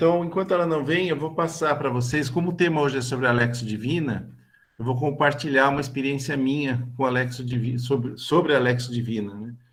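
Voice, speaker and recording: Somewhat breathy speech at a fairly quick pace, with ordinary pitch variation and audible room echo. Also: man, medium pitch for a man. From Brazil, São Paulo state (Bragança Paulista). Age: 60s. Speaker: lay religious formation leader. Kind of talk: online talk / testimony. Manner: halting, many fillers.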